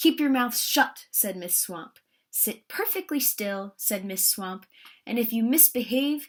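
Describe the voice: The background stays quiet. Over it, someone reads aloud plainly.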